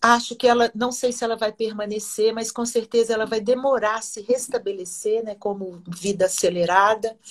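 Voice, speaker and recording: Speaking at a moderate pace with hardly any pauses, a woman with a fairly high pitch keeps her intonation fairly even while her loudness swings widely. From Minas Gerais, Brazil (Oliveira). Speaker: singer and researcher. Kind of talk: interview.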